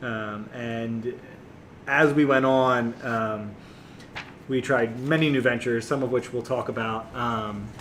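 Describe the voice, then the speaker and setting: A man talks at a very slow pace with fairly even intonation. His pitch is medium, and there is noticeable background noise. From small town US. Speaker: podcast co-host. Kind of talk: casual chat.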